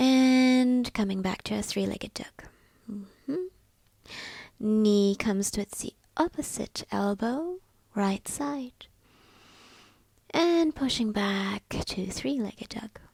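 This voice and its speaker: A woman with a fairly high pitch speaks in a calm tone and a somewhat breathy voice at a very slow pace, her intonation lively, with long, frequent pauses and a dry, close sound with no echo. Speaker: yoga teacher. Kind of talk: guided yoga class instruction. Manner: slow, calm.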